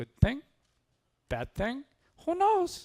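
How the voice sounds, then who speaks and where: The speaker uses a put-on character voice. The pitch is high. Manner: put-on, imperfect imitation.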